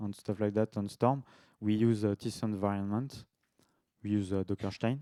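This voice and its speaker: A man with a slight French accent speaks in a monotone, flat intonation and a dark, mellow tone, in a very clean recording with a silent background and a dry, close sound with no echo. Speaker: devops engineer, conference speaker. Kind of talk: tech talk presentation; casual Q&A in French. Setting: meetup talk to live audience. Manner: halting, many filler sounds.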